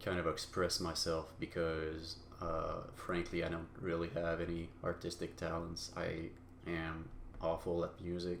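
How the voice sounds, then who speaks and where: With audible room echo, a man speaks in a very deep, low voice. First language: not English. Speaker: solo podcaster. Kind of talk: personal monologue. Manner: halting, many fillers.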